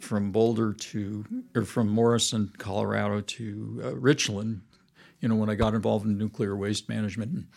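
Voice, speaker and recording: In a very clean recording with a silent background, a man with a plain, everyday voice speaks at a fairly slow pace and medium pitch. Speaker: churchgoer. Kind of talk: casual chat. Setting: studio.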